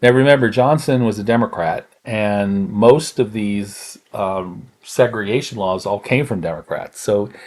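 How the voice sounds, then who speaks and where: A plain, everyday voice from a man, fairly low in pitch with ordinary pitch variation, at a fairly slow pace with hardly any pauses. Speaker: pastor, podcast host. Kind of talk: educational podcast talk, history lesson.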